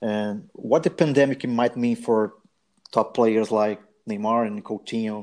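The recording has a quiet background. A man speaks at a fairly slow pace with medium pitch and ordinary pitch variation. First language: Portuguese. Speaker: football podcast host. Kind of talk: casual chat. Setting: remote call.

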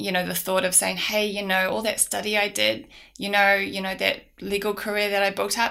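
With an Auckland accent, a woman talks fairly quickly in a bright, sharp tone, her pitch varying in an ordinary way over a very clean recording with a silent background. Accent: New Zealand (Auckland). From New Zealand, South Auckland. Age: 30s. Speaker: business owner. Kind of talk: casual interview.

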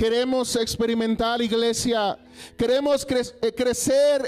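A man speaks at a very slow pace. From Mexico, Coahuila (US border). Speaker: pastor. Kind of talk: sermon. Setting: church.

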